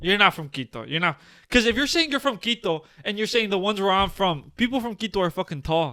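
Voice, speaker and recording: In a raised, projected voice, a man talks very fast at a high pitch, his tone animated, bright and sharp, with lively intonation. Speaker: podcast co-host. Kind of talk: casual chat. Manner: stutter.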